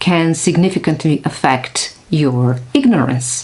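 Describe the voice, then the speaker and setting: The speaker has a non-native accent. The intonation is lively. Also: woman. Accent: non-native English, noticeable. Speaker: neuroscientist. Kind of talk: casual vlog talk.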